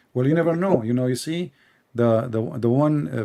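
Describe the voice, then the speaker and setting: The voice has a dark, mellow tone and a non-native accent. Its pitch variation is ordinary. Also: man. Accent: foreign, non-native English. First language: Arabic. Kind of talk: live-stream call-in conversation.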